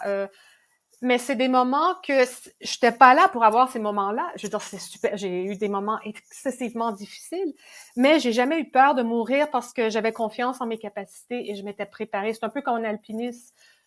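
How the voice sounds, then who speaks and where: The recording is very clean, with a silent background. A woman talks at a moderate pace with ordinary pitch variation. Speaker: ultrarunner and exercise physiology consultant. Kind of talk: podcast interview answer. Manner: enthusiastic, motivating.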